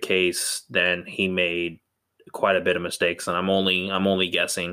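With an American accent, a man speaks in a very deep, low pitch at a fairly slow pace. His tone is bright and sharp. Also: very clean recording, silent background. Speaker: podcast co-host. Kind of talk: casual chat.

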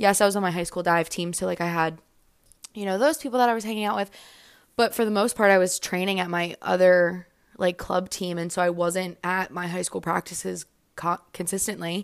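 The recording is very clean, with a silent background. A woman with a normal speaking voice and medium pitch talks at a fairly quick pace with fairly even intonation. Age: 20s. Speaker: podcast host. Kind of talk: casual monologue.

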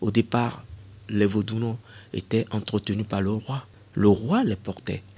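A man speaks very slowly in a fairly low, somewhat breathy voice with a dark, mellow tone. His delivery is monotone and flat, broken by long, frequent pauses. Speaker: cultural heritage expert. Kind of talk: radio interview. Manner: hesitant, frequent fillers.

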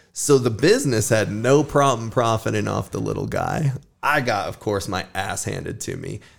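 A man with an American accent and ordinary pitch variation, music playing in the background. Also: medium pitch for a man, moderate pace. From Sparks, Nevada. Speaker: podcast host. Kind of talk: casual chat.

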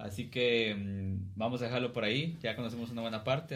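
There's audible room echo around a man's voice. He speaks at a moderate pace and medium pitch. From Guatemala (Cuilapa, Santa Rosa). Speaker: podcast host and musician. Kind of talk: casual chat.

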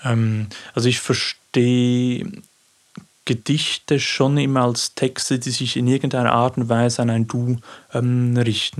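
Using a Swiss accent, a man speaks at a fairly slow pace with a medium pitch and fairly even intonation. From Switzerland, Aargau (Baden). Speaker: poet and teacher. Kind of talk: interview. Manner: halting.

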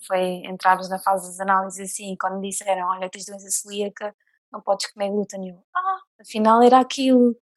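A woman speaks in a monotone, flat way, the sound dry and close with no echo. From Portugal, near Leiria. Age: 20s. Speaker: guest with coeliac disease. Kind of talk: casual chat.

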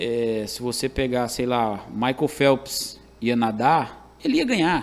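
Speaking in a Ceará accent, a man keeps a medium pitch and fairly even intonation. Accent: Ceará Northeastern Brazilian. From Calcaia, Ceará, Brazil. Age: 30s. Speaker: professional sports bettor, former barber.

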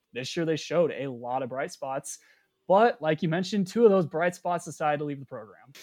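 On a very clean recording with a silent background, a man with an ordinary speaking voice talks at a fairly quick pace, fairly high in pitch, with lively intonation and big swings in loudness. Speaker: sports reporter. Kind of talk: casual chat.

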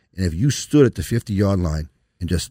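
In a New York accent, a man with a very deep, low pitch and a dark, mellow tone speaks at a fairly quick pace in a very clean recording with a silent background. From New York (Long Island). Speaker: lawyer. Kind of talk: casual interview. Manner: passionate, animated.

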